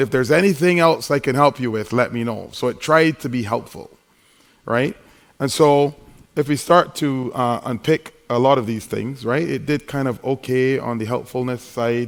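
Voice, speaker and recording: A man with an American accent speaks in an animated tone at medium pitch, keeping a moderate pace and ordinary pitch variation. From Barbados. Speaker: conference keynote speaker. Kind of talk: conference talk.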